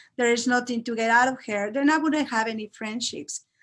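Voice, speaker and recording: Recorded very cleanly against a silent background, a woman with a Mexican accent speaks at a fairly high pitch with fairly even intonation. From Mexico (Mexico City). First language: Spanish. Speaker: Spanish teacher. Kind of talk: interview. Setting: live video talk show.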